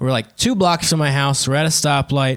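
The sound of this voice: A man's voice, a normal speaking voice, fairly high in pitch with ordinary pitch variation.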